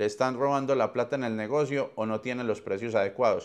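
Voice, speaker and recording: A man at a medium pitch and moderate pace, intonation fairly even, background quiet. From Colombia. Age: 40s. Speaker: podcast host. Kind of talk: webinar talk. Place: home room. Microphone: lapel.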